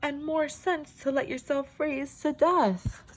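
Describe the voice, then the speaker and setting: Using a put-on character voice, a woman mumbles at a fairly slow pace in a high pitch. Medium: read story. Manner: mumbling, pompous.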